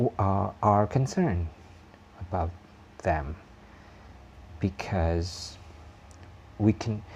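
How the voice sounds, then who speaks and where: Very deep and low, this man's voice has a dark, mellow tone, a somewhat breathy quality and a non-native accent. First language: not English. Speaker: YouTube vlogger. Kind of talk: casual vlog monologue. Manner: halting, many fillers.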